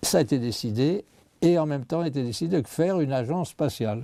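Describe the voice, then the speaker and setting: At a moderate pace, a man talks with lively intonation and a dark, mellow tone. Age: 80s+. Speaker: scientist. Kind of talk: interview. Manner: halting.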